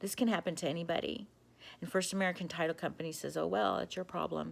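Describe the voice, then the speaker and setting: A woman with a fairly low voice and vocal fry talks fairly quickly in an animated tone. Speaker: vlogger telling about a fraud. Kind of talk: personal video monologue. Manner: animated, agitated.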